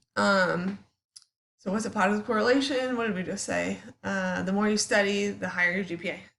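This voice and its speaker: A woman of medium pitch talks at a fairly quick pace, with audible echo from the room. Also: ordinary pitch variation. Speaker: psychology teacher. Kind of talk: recorded lecture. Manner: casual, with many fillers.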